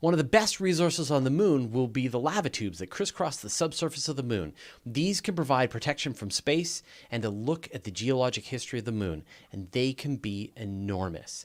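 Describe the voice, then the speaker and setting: On a very clean recording with a silent background, a man talks fairly quickly at medium pitch with very wide pitch swings. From Canada. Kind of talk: podcast host.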